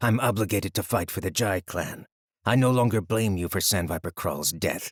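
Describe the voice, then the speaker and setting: A man speaks in a growling, put-on character voice at a fairly low pitch. His pace is moderate, his pitch varies in an ordinary way, and the sound is dry and close with no echo. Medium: read story. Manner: cold, clipped.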